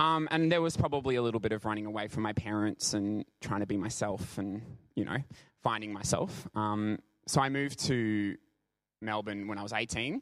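With an Australian accent, a man with a fairly low pitch speaks at a moderate pace. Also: ordinary pitch variation. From Brisbane, Australia. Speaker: professional dancer. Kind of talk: church talk / testimony. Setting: church service with congregation. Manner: halting.

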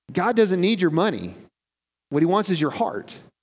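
With ordinary pitch variation, a man talks in a high voice. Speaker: pastor. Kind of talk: sermon. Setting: church. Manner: fast.

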